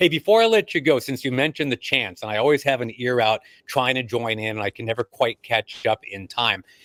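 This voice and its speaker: A man with an American accent and an unremarkable speaking voice talks at a medium pitch and fairly quick pace, recorded dry and close with no echo against a silent background in a very clean recording. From United States. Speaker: sportscaster. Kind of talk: casual chat.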